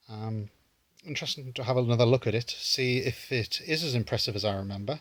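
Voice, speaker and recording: A man with a British accent speaks at a medium pitch and a moderate pace. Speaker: retro gaming YouTuber. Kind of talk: casual pickups video talk. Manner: hesitant, many fillers.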